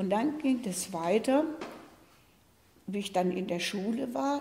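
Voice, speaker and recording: Very slow speech comes through against light background noise. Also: woman. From Eschwege, northern Hesse, Germany. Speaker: contemporary witness. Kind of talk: oral history recollection. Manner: hesitant, conversational. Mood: calm, reflective storytelling. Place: studio.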